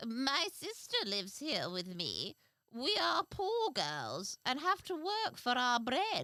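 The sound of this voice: In a put-on character voice, the speaker talks at a fairly slow pace with a fairly high pitch.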